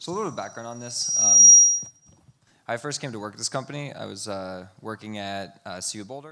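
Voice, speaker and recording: Loudness swings a lot as a man speaks at a fairly quick pace, his fairly low pitch showing ordinary variation. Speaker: irrigation company team member, former soil research lab worker. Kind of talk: conference presentation Q&A answer.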